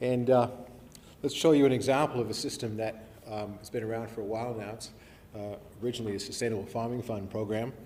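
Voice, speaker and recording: In a room with audible echo, a man with a medium pitch talks very fast with fairly even intonation. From New Zealand, born Invercargill, left age seven, grew up abroad. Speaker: professor. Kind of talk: public lecture. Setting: evening talk to an audience. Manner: hesitant, many fillers and restarts.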